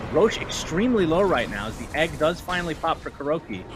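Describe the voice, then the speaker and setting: A man with a high pitch talks at a very fast pace in an animated tone, his pitch swinging very widely. Music plays in the background. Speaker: esports caster. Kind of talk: live commentary.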